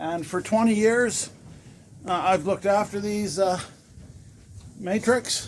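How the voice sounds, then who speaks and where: A man at a high pitch and very slow pace, with noticeable background noise. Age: 60s. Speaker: horse owner vlogger. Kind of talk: casual video appeal. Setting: outdoors in blizzard, snow shed. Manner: halting, many fillers.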